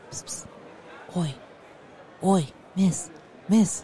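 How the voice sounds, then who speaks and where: A female-sounding voice at a medium pitch performs a put-on character voice. Clear background noise and hissing run underneath. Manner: hissing, secretive.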